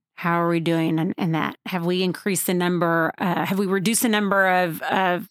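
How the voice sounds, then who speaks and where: In a very clean recording with a silent background, a woman with medium pitch and fairly even intonation speaks at a fairly quick pace in a normal speaking voice. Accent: American. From Waco, Texas. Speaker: nonprofit CEO. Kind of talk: interview. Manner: many fillers and restarts.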